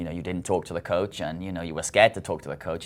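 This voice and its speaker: In a British accent, a man speaks with a very deep, low pitch. His intonation is fairly even. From Britain. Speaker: college soccer coach. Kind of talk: interview.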